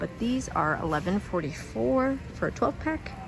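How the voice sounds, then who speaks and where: A woman speaks quietly at a fairly slow pace, her pitch swinging very widely, with music in the background. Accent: American. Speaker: YouTube shopping vlogger. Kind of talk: shopping haul vlog. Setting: inside a store, walking through aisles. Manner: quiet, lowered voice; casual with many fillers.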